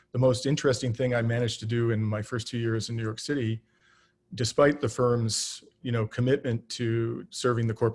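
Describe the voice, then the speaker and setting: A man with a Canadian accent speaks very fast in a somewhat breathy, medium-pitched voice, monotone and flat. The recording is very clean, with a silent background. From southern Ontario, Canada. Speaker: political candidate. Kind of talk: campaign talk. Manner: many fillers and false starts.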